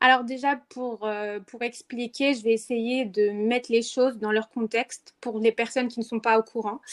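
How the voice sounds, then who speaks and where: A woman with a fairly high pitch speaks at a fairly slow pace with hardly any pauses, her intonation monotone and flat, in a dry, close sound with no echo. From Morocco, Rabat. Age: 20s. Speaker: activist, movement co-founder. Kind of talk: podcast interview. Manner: hesitant, many fillers.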